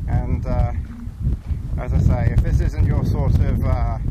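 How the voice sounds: A man's medium-pitched voice at a fairly slow pace, with fairly even intonation and clear background noise.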